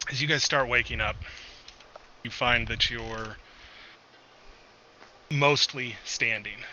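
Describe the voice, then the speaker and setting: A man uses a raspy, put-on character voice at a medium pitch with fairly even intonation. He talks at a fairly slow pace, with long, frequent pauses. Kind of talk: tabletop GM scene narration. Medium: actual play. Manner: casual, halting, filler-heavy.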